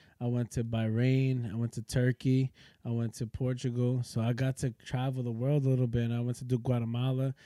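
On a very clean recording with a silent background, a man with a New York accent talks at a fairly quick pace in a dark, mellow tone, medium pitch and monotone, flat intonation. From New York (Yonkers). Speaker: triathlete and Navy veteran. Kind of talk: casual chat.

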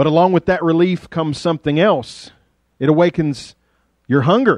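A man with an Appalachian accent speaks at a moderate pace in a fairly high pitch and an animated tone. The recording is dry and close with no echo, over a quiet background. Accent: Appalachian Southern. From US South, rural southwest Virginia. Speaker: pastor. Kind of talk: sermon. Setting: church.

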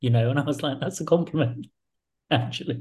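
Somewhat breathy, dark, mellow tones from a man. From England. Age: 40s. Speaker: think tank director and author. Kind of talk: interview.

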